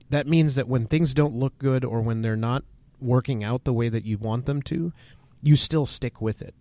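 Recorded very cleanly against a silent background, this is a plain, everyday voice moving at a moderate pace. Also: man. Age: 30s. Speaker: value investing podcast co-host. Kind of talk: casual chat.

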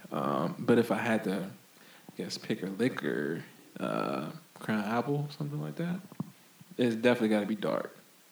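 In an American accent, the voice swings very widely in pitch and shows vocal fry. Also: man. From Florida. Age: 20s. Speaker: clothing brand founder. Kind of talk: casual chat.

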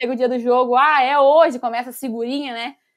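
On a very clean recording with a silent background, a woman speaks fairly quickly in a high pitch with fairly even intonation. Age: 20s. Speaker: football club fan ambassador. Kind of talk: casual interview.

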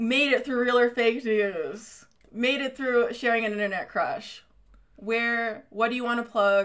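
A woman with a fairly high voice and ordinary pitch variation delivers her words fairly slowly. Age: 20s. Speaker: podcast host. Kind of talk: casual chat. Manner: animated.

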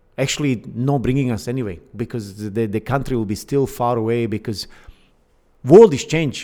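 A man with a Bosnian accent and a dark, mellow tone speaks at a moderate pace. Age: 50s. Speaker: Olympic canoeist and fitness coach. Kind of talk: casual interview. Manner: halting, many fillers.

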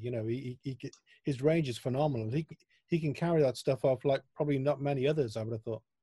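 With a dark, mellow tone, a man speaks at a medium pitch, somewhat breathy and with ordinary pitch variation, in a dry, close sound with no echo. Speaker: music interviewer. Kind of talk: interview.

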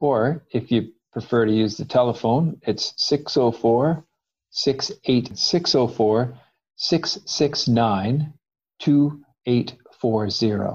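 The man's voice sits at a medium pitch and is somewhat breathy. His pitch varies in an ordinary way, and the background is quiet. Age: 50s. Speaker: transportation nonprofit manager. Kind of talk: radio interview. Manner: halting, repeats words.

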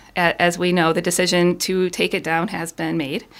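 This woman speaks with an Upper Midwest accent. Her pace is moderate. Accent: Upper Midwest American. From Michigan, Ann Arbor area. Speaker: city council candidate. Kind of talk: radio interview. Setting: studio.

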